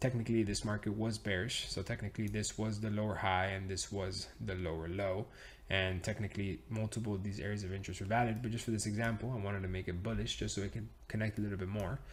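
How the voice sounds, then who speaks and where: Very fast and somewhat breathy, a man talks in an animated tone. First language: Spanish. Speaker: trading educator. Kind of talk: tutorial. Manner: casual, animated.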